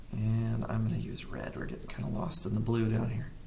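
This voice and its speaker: Audible room echo surrounds a man speaking at a moderate pace with a medium pitch. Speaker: math teacher. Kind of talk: tutorial. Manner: casual, self-correcting.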